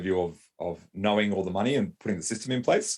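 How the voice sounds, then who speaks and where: In a very clean recording with a silent background, a man with an Australian accent speaks fairly quickly at a fairly low pitch. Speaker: lawyer and business owner. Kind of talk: interview. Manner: hesitant, many fillers and repeats.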